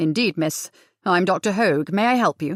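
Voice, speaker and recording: In a put-on character voice, a woman growls at a moderate pace with lively intonation and a medium pitch, on a very clean recording with a silent background. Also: dry, close sound with no echo. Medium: read story. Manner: oily, falsely concerned.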